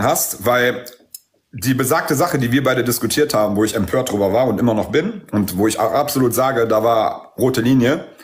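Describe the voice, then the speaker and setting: An unremarkable speaking voice comes from a man of medium pitch. He talks at a moderate pace with ordinary pitch variation. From Aramean background. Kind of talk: casual chat.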